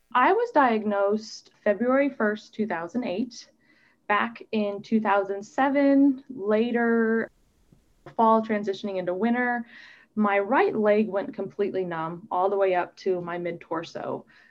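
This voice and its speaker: She has an American accent and a fairly high pitch. This woman speaks at a very slow pace. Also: ordinary pitch variation. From US Midwest (Omaha, Nebraska). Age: 30s. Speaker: doctoral student living with MS. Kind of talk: interview testimony.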